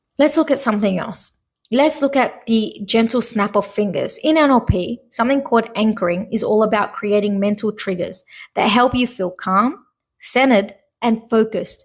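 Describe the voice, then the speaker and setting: Somewhat breathy, a woman with a fairly high pitch and ordinary pitch variation speaks at a moderate pace. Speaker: podcast host and hypnotherapist. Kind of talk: solo podcast monologue. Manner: halting, stumbling over words.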